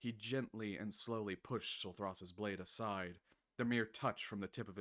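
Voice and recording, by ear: Intonation stays fairly even as the text is read aloud in a natural voice, with a quiet background.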